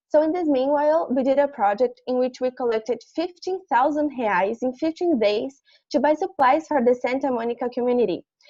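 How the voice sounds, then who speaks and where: Speaking at a fairly quick pace with a Brazilian accent, a woman has a high pitch, a dark, mellow tone and ordinary pitch variation, in a dry, close sound with no echo. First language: Portuguese. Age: 20s. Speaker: university student. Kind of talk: prepared presentation.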